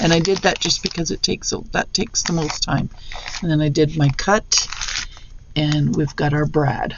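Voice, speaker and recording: The speech comes at a moderate pace with ordinary pitch variation, set against noticeable background noise. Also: woman. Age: 60s. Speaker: craft channel creator. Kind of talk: tutorial. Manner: casual, halting with restarts.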